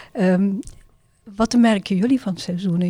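A woman's somewhat breathy voice, dark and mellow in tone, at a medium pitch with ordinary pitch variation. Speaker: podcast host and refugee organisation volunteer. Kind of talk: casual interview, guided by a card game. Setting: podcast studio.

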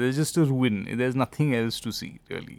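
Speaking with an Indian accent, a man talks at a fairly quick pace. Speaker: podcast host. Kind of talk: casual comedic chat.

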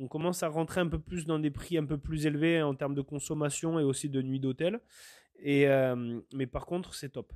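Fairly even intonation, with a dry, close sound, no echo and a quiet background. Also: man. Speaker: podcast host. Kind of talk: solo monologue podcast. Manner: fast; hesitant, many fillers.

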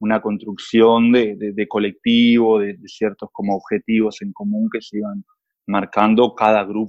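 A man speaks with a Uruguayan accent. His pitch is medium and his pace moderate. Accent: Uruguayan Rioplatense Spanish. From Uruguay, San José. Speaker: film producer. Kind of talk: casual conversation.

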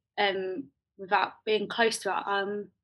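A woman with a London accent, her pitch fairly high, at a fairly slow pace. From South London (Croydon). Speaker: poet and theatre maker. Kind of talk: casual interview conversation.

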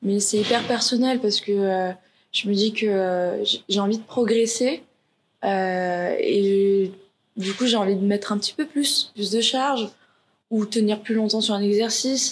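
A woman with fairly high pitch speaks at a fairly slow pace with long, frequent pauses, ordinary pitch variation and very even loudness. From Paris suburbs, France. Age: 20s. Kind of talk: interview. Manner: halting, many hesitations.

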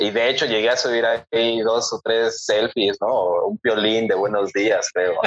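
At a fairly slow pace, a man talks with hardly any pauses. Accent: Mexican. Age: 30s. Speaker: photographer. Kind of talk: casual chat.

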